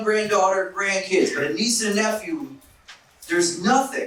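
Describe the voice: A man at a high pitch with an American accent, fairly bright in tone, at a moderate pace, with strong room echo.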